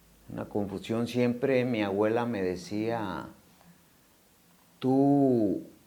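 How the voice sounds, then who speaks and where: A man at a very slow pace, medium pitch and fairly even intonation, with audible room echo. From Mexico, Morelia, Michoacán. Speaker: recovering addict, ex-prisoner. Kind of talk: testimony. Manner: halting, many fillers.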